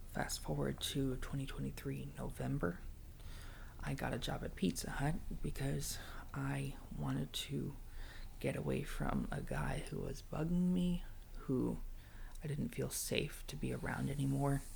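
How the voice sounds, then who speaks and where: Soft-spoken man at a fairly slow pace, with long, frequent pauses. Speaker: ASMR content creator. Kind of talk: ASMR personal storytelling ramble. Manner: soft-spoken, rambling, vulnerable.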